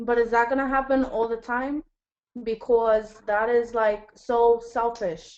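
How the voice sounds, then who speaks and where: Monotone, flat intonation at a fairly slow pace. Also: woman, fairly high pitch for a woman. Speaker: student. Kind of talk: class discussion.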